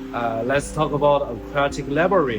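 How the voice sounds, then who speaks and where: With music in the background and audible room echo, a man with a non-native accent speaks at a moderate pace. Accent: non-native English pronunciation. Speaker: aquarium channel host. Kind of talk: casual vlog narration.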